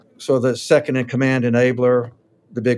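At a fairly quick pace, a man speaks in an ordinary speaking voice at medium pitch. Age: 60s. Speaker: author and counselor. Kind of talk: casual interview conversation.

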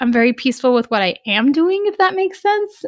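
A woman talks at a fairly quick pace, her pitch swinging very widely. The background is quiet. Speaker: physician and podcast co-host. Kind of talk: casual chat.

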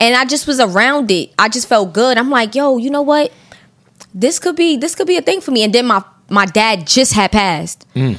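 Speaking in a Brooklyn accent, a woman uses a high pitch at a moderate pace. Her pitch swings are very wide. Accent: New York (Brooklyn). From Brooklyn, New York. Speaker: rapper. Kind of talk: casual chat.

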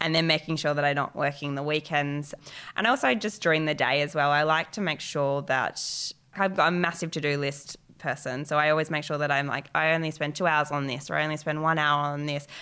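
A woman speaks at a fairly quick pace with a very deep, low pitch and a bright, sharp tone. Her intonation stays fairly even, and the recording is very clean with a silent background. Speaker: designer and business owner. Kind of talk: casual interview.

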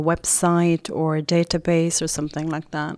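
A woman's plain, everyday voice, fairly low-pitched, at a moderate pace, on a very clean recording with a silent background. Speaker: podcast interviewer. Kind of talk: casual interview.

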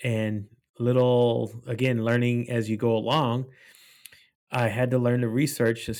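On a very clean recording with a silent background, a man speaks very slowly in a medium pitch and a monotone, flat intonation. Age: 40s. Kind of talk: casual chat. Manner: halting.

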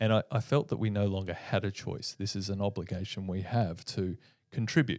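On a very clean recording with a silent background, a man speaks at a fairly quick pace. His pitch is fairly low, with ordinary pitch variation. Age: 40s. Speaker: business owner hosting company podcast. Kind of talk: casual team chat. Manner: animated.

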